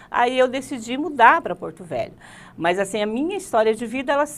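High-pitched and lively in intonation, a woman's voice comes across with a bright, sharp tone. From Rondônia, Brazil (moved from Paraná as a child); Rondônia, Brazil. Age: 50s. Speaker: teacher and political candidate; teacher interview guest. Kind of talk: interview. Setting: studio. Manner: halting. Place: studio.

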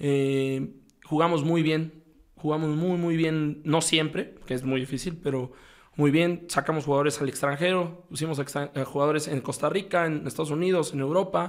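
Over a quiet background, a man with a fairly high pitch speaks at a moderate pace with fairly even intonation. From Mexico. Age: 30s. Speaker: football coach. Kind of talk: casual interview. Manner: halting, frequent repetitions. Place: studio. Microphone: studio mic.

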